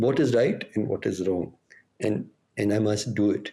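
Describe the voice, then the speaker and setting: A man speaks at a fairly slow pace with a dark, mellow tone. Vocal fry runs through his voice. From India. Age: 60s. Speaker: activist. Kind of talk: interview. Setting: podcast recording. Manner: halting, many fillers.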